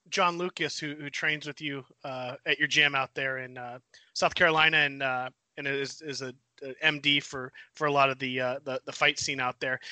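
A man speaks in an ordinary speaking voice at a moderate pace and a fairly high pitch. His loudness swings widely. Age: 40s. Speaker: podcast co-host. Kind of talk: interview.

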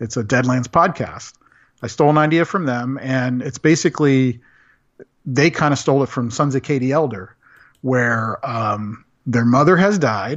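In an American accent, a man uses an ordinary speaking voice at medium pitch, with ordinary pitch variation and a moderate pace. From Central Florida. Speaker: graphic designer and game master. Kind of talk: casual interview.

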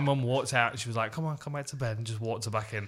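On a very clean recording with a silent background, a man talks at a very fast pace in a bright, sharp tone with ordinary pitch variation. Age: 30s. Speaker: MMA podcast co-host. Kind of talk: casual chat.

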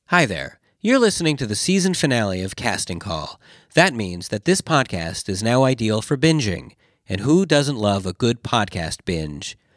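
On a very clean recording with a silent background, an animated man speaks at a moderate pace in a medium pitch with very wide pitch swings. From Canada. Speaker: live show host and podcaster. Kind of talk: live stage show, comedic hosting. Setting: stage with audience. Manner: animated, jokey.

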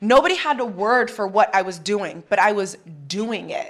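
A woman with an unremarkable speaking voice talks at a moderate pace. Her pitch is fairly high and her intonation lively. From US, military family (Hawaii, Arizona, Chicago). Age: 30s. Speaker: TV host. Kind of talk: interview conversation.

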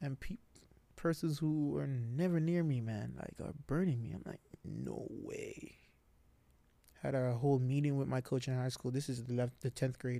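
The man's voice sits at a medium pitch with a dark, mellow tone. His pace is moderate and his pitch varies in an ordinary way. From Jamaica, Montego Bay. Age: young. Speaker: university footballer. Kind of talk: casual interview.

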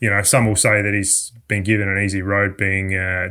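Here a man talks with an Australian accent at a fairly low pitch. His tone is bright and sharp. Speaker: motorsport journalist. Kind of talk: casual chat. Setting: remote call.

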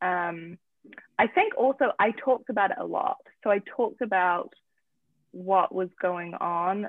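A woman with a New Zealand accent, talking at a fairly slow pace. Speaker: founder of an addiction family support platform. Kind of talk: interview.

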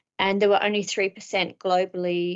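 A woman speaks in an Australian accent. Her intonation is monotone and flat. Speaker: business strategy consultant and author. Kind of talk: interview.

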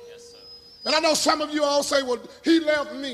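With an animated tone, a man speaks in a raised, projected voice. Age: 50s. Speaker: pastor. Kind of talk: sermon. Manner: animated, emphatic with repetition.

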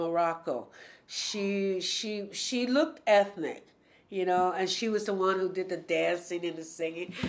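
At a fairly slow pace, a woman talks with medium pitch and fairly even intonation. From New York City, Spanish Harlem. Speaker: storyteller and solo performer. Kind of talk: casual interview.

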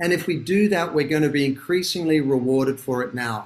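A man talks with an Australian accent. His pace is moderate and his pitch variation ordinary. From Australia, Sydney. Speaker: author and business founder. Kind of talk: interview.

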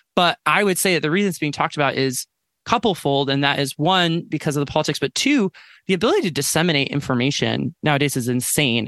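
Over a quiet background, a man with an American accent and fairly high pitch talks at a very fast pace with very even loudness, in a dry, close sound with no echo. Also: ordinary pitch variation. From US West (Colorado Springs). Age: 30s. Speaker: ex-pastor and author. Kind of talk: casual interview conversation. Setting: recording in a closet at home, remote call.

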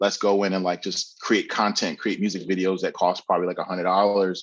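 Over a quiet background, a man speaks with an American accent at a fairly quick pace. His is an unremarkable speaking voice, fairly low in pitch. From New Jersey (Bloomfield, East Orange). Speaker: designer and art director. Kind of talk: casual interview chat.

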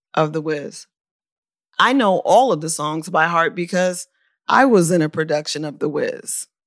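A woman with an unremarkable speaking voice talks at a moderate pace and a fairly low pitch, recorded very cleanly with a silent background. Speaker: podcast host and author. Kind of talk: interview and scripted narration.

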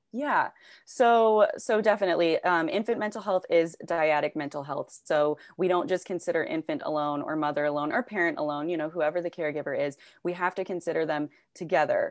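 In a normal speaking voice, a woman talks at a fairly quick pace and fairly low pitch with ordinary pitch variation against a quiet background. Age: 30s. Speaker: behavioral health worker. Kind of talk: casual interview chat.

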